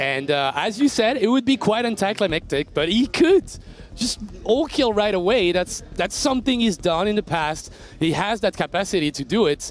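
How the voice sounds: A high-pitched man with lively intonation. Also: moderate pace, few pauses.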